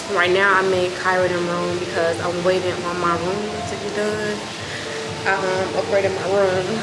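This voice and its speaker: A woman speaks fairly slowly as music plays behind her. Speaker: vlogger. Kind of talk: casual vlog chat. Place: street. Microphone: phone near.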